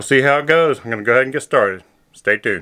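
Against a quiet background, a man speaks with a bright, sharp tone. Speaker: vlogger doing a renovation. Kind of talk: casual vlog chat. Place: home room. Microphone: phone near.

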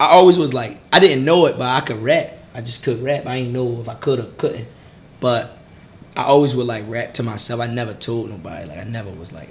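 There are big swings in loudness as a man speaks in a somewhat breathy voice. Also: fairly quick pace. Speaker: interview guest. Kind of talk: interview answer. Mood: relaxed, laughing at times. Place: meeting room. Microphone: studio mic.

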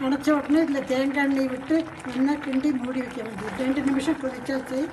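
Against noticeable background noise, a woman speaks in a high pitch with monotone, flat intonation. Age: 80s+. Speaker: home cook. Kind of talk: cooking demonstration.

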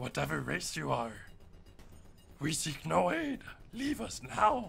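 Over clear background noise, a man performs in a put-on character voice. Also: fairly slow pace. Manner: gruff.

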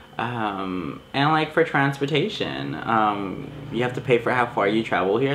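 An American-accented man at medium pitch and moderate pace, with lively intonation over noticeable background noise. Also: hardly any pauses. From Los Angeles, California. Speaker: student, aspiring photographer. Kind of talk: interview.

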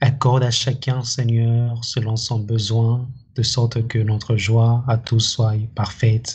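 A man talks at a very slow pace, his loudness very even. His voice is somewhat breathy, with monotone, flat intonation. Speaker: church member leading closing prayer. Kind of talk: prayer. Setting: church. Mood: solemn, earnest. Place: home room.

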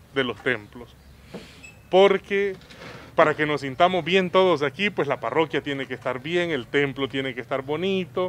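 A man talks at a fairly slow pace with ordinary pitch variation. The sound is dry with no echo, over light background noise. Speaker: parish priest. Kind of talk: interview answer. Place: street. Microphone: handheld.

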